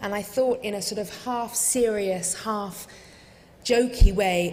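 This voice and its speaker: With an English accent, a woman speaks over noticeable background noise, and the room echo is audible. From England. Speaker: refugee advocacy director. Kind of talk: talk to congregation.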